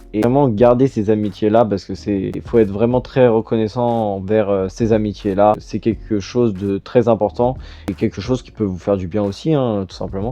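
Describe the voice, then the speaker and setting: The voice moves at a moderate pace with fairly even intonation, hardly any pauses, and big swings in loudness. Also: man, fairly low pitch for a man. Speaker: youtuber / podcaster. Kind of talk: casual monologue answering a quiz. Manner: calm, composed; hesitant, many fillers.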